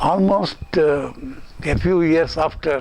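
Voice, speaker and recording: A man speaks while noticeable background noise is audible. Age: 80s+. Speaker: public figure giving a tribute. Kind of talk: recorded tribute.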